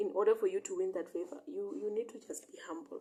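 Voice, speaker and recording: Speaking with a non-native accent, a woman keeps a moderate pace. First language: not English. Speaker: bible teacher. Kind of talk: bible study reading and interpretation. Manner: halting, self-correcting.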